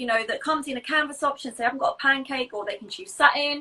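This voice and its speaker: A woman speaks in a raised, projected voice at a high pitch, with lively intonation. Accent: English. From England. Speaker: pointe shoe fitter. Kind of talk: casual interview chat about products.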